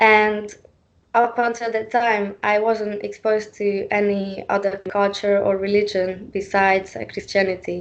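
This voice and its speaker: A woman with a Hungarian accent speaks at a medium pitch and a fairly slow pace, her intonation monotone and flat over a quiet background. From Hungary. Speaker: panel speaker. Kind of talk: panel talk. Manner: halting, many fillers.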